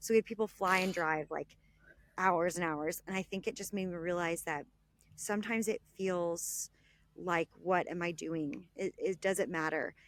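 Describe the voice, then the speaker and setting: A woman with a Texan accent and a fairly low pitch speaks at a moderate pace with fairly even intonation, in a very clean recording with a silent background and a dry, close sound with no echo. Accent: Texan American. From Texas (Dallas). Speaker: travel blogger and author. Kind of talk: podcast interview.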